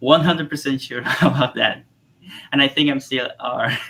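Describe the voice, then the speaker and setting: A man speaks with a Spanish accent. His tone is bright and sharp. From Cuba. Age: 30s. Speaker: artist and tarot illustrator. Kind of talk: interview. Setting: live stream. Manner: halting.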